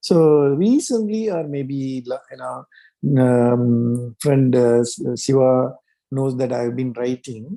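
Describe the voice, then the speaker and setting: In a Tamil accent, the speaker talks at a very slow pace with ordinary pitch variation. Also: man, medium pitch for a man. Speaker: mental health writer. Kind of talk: group discussion. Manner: halting, many fillers.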